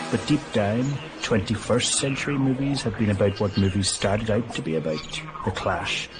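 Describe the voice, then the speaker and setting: At a moderate pace and with ordinary pitch variation, a man speaks through noticeable background noise. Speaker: documentary narrator and film critic. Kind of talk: documentary narration.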